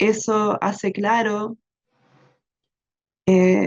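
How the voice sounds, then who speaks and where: A woman speaks in a monotone, flat intonation. The sound is dry and close, with no echo. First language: English (speaking Spanish). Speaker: researcher presenting a storytelling project. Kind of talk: answering a question in an online webinar. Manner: halting, many fillers.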